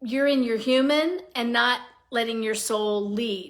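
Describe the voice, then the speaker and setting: The voice has a bright, sharp, animated tone with lively intonation, at a fairly slow pace. The recording is very clean, with a silent background. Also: woman. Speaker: psychic energy reader and podcaster. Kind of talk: live stream energy reading. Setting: live stream.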